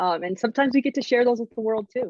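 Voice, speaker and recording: Her pitch is fairly high for a woman. She talks at a very fast pace. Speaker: basketball color analyst. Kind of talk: panel discussion. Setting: video call. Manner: loud.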